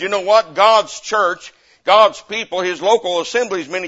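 A man with a Southern US accent speaks at a high pitch. His tone is animated. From US South. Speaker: missionary preacher. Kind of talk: revival-style sermon at a church Bible conference, coaxing amens from the congregation. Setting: church pulpit with live congregation. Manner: fervent and animated, punctuating nearly every point with repeated Amen; folksy and repetitive, with frequent stammered restarts.

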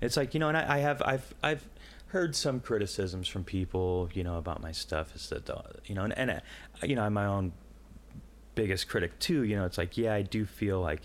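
At a moderate pace, a man with an American accent uses lively intonation at a fairly low pitch. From Quad Cities, US Midwest. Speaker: artist and musician. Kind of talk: casual interview chat.

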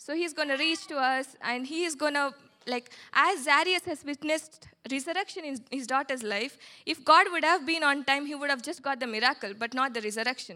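A woman speaks in a raised, projected voice at a high pitch and a fairly quick pace. Her tone is bright and sharp, with ordinary pitch variation. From southern India (Telangana). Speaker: doctoral student, church speaker. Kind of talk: testimony.

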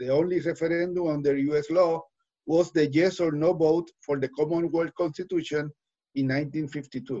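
Speaking with a Puerto Rican accent, a man keeps a fairly high pitch, a moderate pace and a monotone, flat intonation. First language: Spanish. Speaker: newspaper correspondent and podcast host. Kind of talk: interview. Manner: halting, many hesitations in English.

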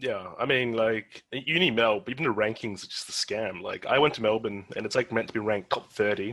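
A man with an Australian accent talks at a fairly quick pace. His pitch is medium, with ordinary pitch variation. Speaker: podcast host. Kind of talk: casual chat. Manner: animated.

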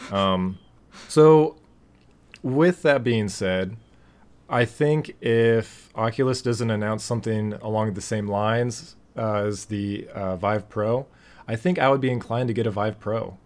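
Here is a man with a plain, everyday voice and a medium pitch. He speaks at a fairly slow pace with ordinary pitch variation. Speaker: podcast host. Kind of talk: casual chat.

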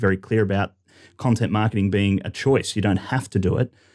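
On a very clean recording with a silent background, a man with an Australian accent and a dark, mellow tone speaks at a fairly quick pace with ordinary pitch variation. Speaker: podcast host, marketing company CEO. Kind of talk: interview.

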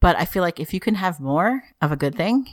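The speech moves at a moderate pace with lively intonation. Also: woman.

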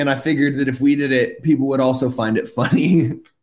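Loud, fairly quick speech from a man. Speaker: musician in a rock band. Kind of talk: casual chat. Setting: video call.

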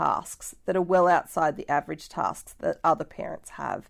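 Over a silent background in a very clean recording, a woman talks with an Australian accent. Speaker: podcast host. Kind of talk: solo podcast monologue. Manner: warm, effusive.

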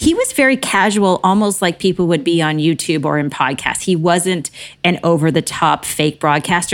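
A woman with a fairly low pitch speaks at a moderate pace with ordinary pitch variation. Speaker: media producer, speaker and podcast host. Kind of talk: casual interview chat. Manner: bubbly, effervescent.

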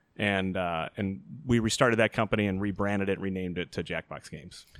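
An ordinary speaking voice from a man with an American accent, fairly low pitch and a moderate pace, in a very clean recording with a silent background. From Chicago South Side suburbs. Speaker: video game company CEO. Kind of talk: podcast interview.

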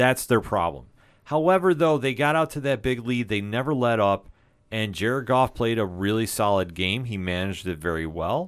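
A man's voice with very wide pitch swings on a very clean recording over a silent background. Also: medium pitch for a man, moderate pace. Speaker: sports podcast host. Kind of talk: casual chat. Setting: studio. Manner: stutters a little in intro.

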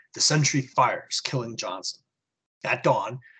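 Someone does plain reading aloud while little sound comes from the background.

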